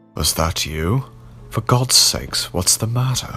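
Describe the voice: Using a put-on character voice, a man speaks with a husky, medium-pitched tone, lively intonation and a fairly slow pace over clear music in the background.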